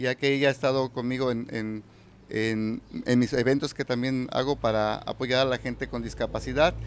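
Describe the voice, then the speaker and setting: There is light background noise behind a man as he speaks. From Mexico, Michoacán. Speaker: poet and reciter. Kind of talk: casual interview. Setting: live community event. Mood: warm, smiling. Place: hall. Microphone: handheld.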